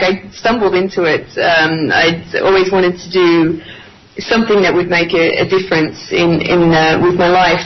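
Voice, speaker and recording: A woman speaks at a moderate pace and a medium pitch, with audible room echo and noticeable background noise. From Australia. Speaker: journalist. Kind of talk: radio interview. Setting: Skype call. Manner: hesitant with fillers.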